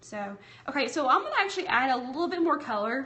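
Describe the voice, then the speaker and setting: With a strong Southern accent, a woman talks at a fairly quick pace amid noticeable background noise and audible room echo. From US South. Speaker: craft and bible journaling livestreamer. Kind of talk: live-streamed craft tutorial with chat. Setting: livestream from home. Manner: casual, chatty.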